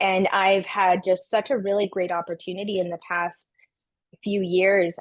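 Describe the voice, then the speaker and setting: A woman with an unremarkable speaking voice, medium pitch, a moderate pace and a quiet background. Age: 30s. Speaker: podcast guest, mother and business professional. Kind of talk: interview conversation.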